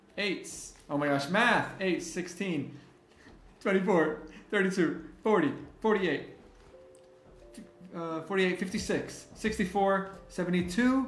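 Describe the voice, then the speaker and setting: A man's high voice, animated in tone, with ordinary pitch variation, a fairly slow pace, long, frequent pauses and audible room echo. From Miami, Florida. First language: Spanish. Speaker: livestreamer and graphic designer. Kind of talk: live stream chat with giveaway. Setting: live stream.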